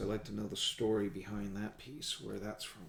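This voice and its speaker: A man speaks in a relaxed tone at a fairly low pitch. Vocal fry shows up in his voice. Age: 50s. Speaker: hobbyist vlogger. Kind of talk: casual build commentary. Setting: at home gaming table. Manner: relaxed, halting with fillers.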